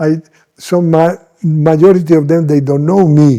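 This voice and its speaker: Speaking with a Spanish accent, a man uses a fairly high pitch and a dark, mellow tone, keeping his intonation fairly even at a moderate pace. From Colombia, Medellín. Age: 80s+. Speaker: missionary bishop. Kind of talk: interview. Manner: halting.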